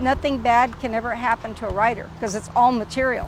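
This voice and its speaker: A woman with an American accent, high pitch and moderate pace, with music in the background. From US, Texas (San Antonio west side). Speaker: poet and storyteller. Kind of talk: testimony.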